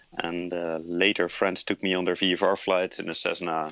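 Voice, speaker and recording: A man talks with a Dutch accent in a very deep, low pitch. His intonation stays monotone and flat. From Netherlands. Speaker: airline pilot. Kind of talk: interview. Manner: halting, many filler uhs.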